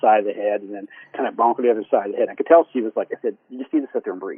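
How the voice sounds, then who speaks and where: A man speaks at a very fast pace. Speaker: therapist and life coach. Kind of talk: podcast interview. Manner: animated.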